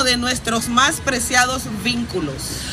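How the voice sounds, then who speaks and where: Someone with a Honduran accent talks at a moderate pace with ordinary pitch variation, amid noticeable background noise and audible room echo. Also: woman. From Honduras. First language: Spanish. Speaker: activist. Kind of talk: rally speech; reading aloud.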